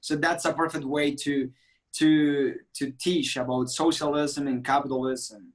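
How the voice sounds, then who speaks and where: A man with a Venezuelan accent, fairly high-pitched and flat in a monotone, at a fairly slow pace. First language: Spanish. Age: 20s. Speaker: political activist. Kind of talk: interview. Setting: video call. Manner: halting.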